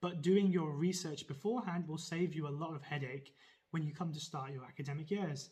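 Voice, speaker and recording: The speaker talks at a fairly quick pace with a Birmingham accent, a dark, mellow tone, and ordinary pitch variation. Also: man, fairly high pitch for a man. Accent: Birmingham (Brummie) English. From England, Birmingham. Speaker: medical student vlogger. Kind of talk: informational vlog. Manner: casual, upbeat.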